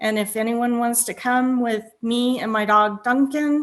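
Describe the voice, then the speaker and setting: A woman with a normal speaking voice, fairly high in pitch, ordinary pitch variation, and a fairly slow pace. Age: 50s. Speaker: aspiring baker. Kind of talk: casual chat.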